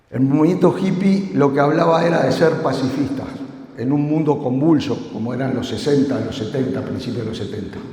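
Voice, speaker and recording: A man speaks in a fairly high pitch with ordinary pitch variation. Noticeable background noise and audible room echo surround him. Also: moderate pace. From Uruguay. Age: 60s. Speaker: security conference speaker. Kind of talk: conference talk. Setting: stage with audience.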